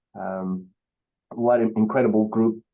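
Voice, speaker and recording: A man with a Beninese accent, dark and mellow in tone, fairly low in pitch, at a fairly slow pace with fairly even intonation. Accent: West African (Beninese) accent, noticeable. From Benin, West Africa. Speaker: keynote speaker, singer-songwriter. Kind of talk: keynote speech. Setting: video call. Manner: hesitant, many fillers.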